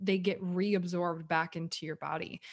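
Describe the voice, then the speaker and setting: In a normal speaking voice, a woman talks at a fairly slow pace and medium pitch, on a very clean recording with a silent background. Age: 30s. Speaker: podcast co-host. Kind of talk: casual chat.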